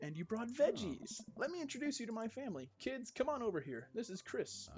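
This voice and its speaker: A put-on character voice from a man, extremely high in pitch and fairly quick in pace. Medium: game stream. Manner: warm, enthusiastic.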